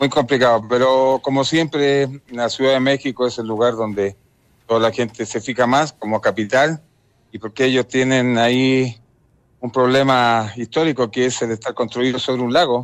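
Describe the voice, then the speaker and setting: A man talks at a moderate pace with fairly even intonation and medium pitch. His is an unremarkable speaking voice. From Chile. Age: 50s. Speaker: former footballer. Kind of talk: phone interview.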